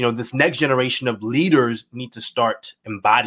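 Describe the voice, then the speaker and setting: The speaker has an enthusiastic, animated tone and keeps a moderate pace. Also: man. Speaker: podcast and livestream host. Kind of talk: live video interview.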